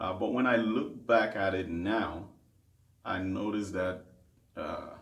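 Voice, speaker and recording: In a Nigerian accent, a man talks at a fairly slow pace with fairly low pitch and ordinary pitch variation, and the room echo is audible. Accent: Nigerian (Yoruba) English. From Nigeria, Lagos. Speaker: gospel singer and worship leader. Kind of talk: interview.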